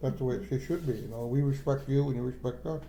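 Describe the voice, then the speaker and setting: With audible room echo, a man in an American accent speaks at a fairly quick pace, his voice fairly high-pitched, dark and mellow, and somewhat breathy. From Akwesasne Mohawk reserve, New York/Canada border. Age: old. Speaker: traditional maple sugar producer. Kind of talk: oral history interview. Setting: kitchen table at home. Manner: halting, frequent repetitions and fillers.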